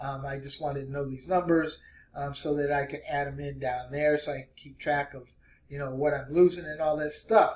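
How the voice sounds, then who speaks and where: Over noticeable background noise, the voice moves at a fairly quick pace in a flat monotone, with big swings in loudness. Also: man, fairly high pitch for a man. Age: 60s. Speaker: weight loss vlogger. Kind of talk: casual vlog tutorial. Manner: casual, hesitant with many fillers.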